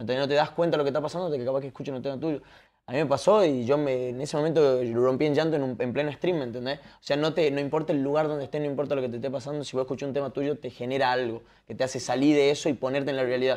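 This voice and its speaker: Speaking at a very fast pace, a man keeps his intonation fairly even. His pitch is fairly high. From Argentina, Tucumán; Argentina. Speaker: podcast and stream host; podcast, stream host. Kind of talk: casual interview chat. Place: home room.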